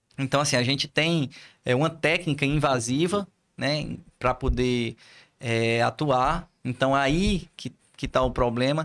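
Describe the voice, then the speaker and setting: A man with an ordinary speaking voice talks at a fairly slow pace with a fairly high pitch. The recording is very clean with a silent background, and his pitch variation is ordinary. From Ceará, Brazil (Poeiras, interior). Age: 40s. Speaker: physiotherapist, head of professional council. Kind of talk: casual interview.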